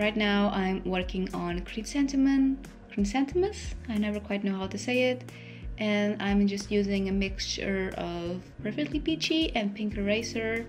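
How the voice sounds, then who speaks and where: Music sits in the background while the talk proceeds at a moderate pace. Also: woman. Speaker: illustrator. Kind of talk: art process voice-over. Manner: casual, chatty.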